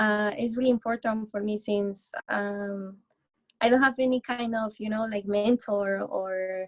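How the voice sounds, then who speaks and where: Speaking in a Spanish accent, a woman with a fairly high pitch talks at a fairly slow pace in a monotone, flat intonation. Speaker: recent graduate seeking music industry work. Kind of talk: interview Q&A. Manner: halting.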